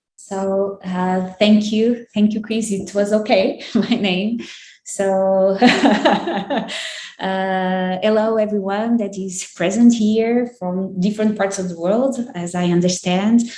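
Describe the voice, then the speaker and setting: A woman with a Portuguese accent at a medium pitch, very slow pace and fairly even intonation, amid audible room echo and noticeable background noise. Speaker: psychologist and sex therapist. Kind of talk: academic presentation. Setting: online webinar. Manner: halting, searching for words.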